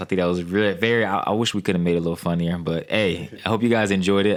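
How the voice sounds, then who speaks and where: Talking very fast, a man with a very deep, low voice keeps his intonation fairly even. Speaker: podcast host. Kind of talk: casual chat.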